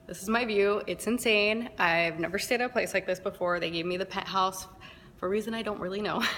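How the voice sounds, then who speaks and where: Fairly quick, fairly even speech from a woman in a medium register, with noticeable noise behind it. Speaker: florist business owner. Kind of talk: casual talk to camera.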